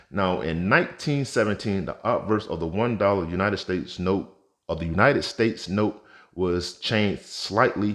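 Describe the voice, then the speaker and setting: Against a quiet background, a man with an unremarkable speaking voice and fairly low pitch talks at a moderate pace with ordinary pitch variation. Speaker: currency collector YouTuber. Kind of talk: tutorial. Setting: home vault.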